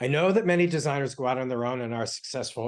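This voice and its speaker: A man at a medium pitch, with ordinary pitch variation and a very fast pace. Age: 60s. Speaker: interior design author. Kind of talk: interview. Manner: halting, many fillers.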